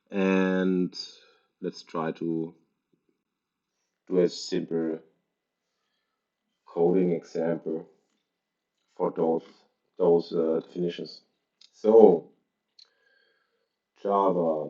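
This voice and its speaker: In a German accent, the speaker goes at a very slow pace with monotone, flat intonation and long, frequent pauses. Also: man. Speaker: programming tutor. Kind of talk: tutorial. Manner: halting.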